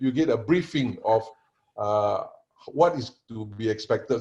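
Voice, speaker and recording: A man's somewhat breathy voice with a dark, mellow tone. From Singapore. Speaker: panelist, assessment and training consultant. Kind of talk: online panel presentation. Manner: halting, many fillers.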